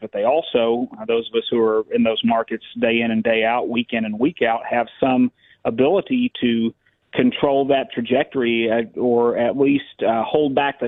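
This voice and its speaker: A man speaks at a moderate pace in a medium pitch, his intonation fairly even. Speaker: auctioneer, state bid calling champion. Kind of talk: interview answer. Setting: phone interview. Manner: fluent, articulate, passionate, with some filler words.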